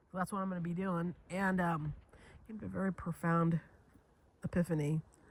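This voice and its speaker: A woman with a fairly low, somewhat breathy voice speaks at a fairly quick pace with fairly even intonation, recorded dry and close with no echo. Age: 50s. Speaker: video journaling vlogger. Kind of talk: casual monologue vlog. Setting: lounge chair at home, sunny spot. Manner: halting, repetitive false starts.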